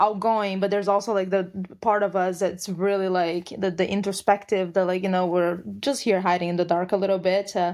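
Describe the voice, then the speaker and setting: A woman with a medium pitch talks at a fairly quick pace, with hardly any pauses, flat monotone intonation and very even loudness. The recording is very clean, with a silent background. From Brazil. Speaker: colorist. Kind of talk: interview answer.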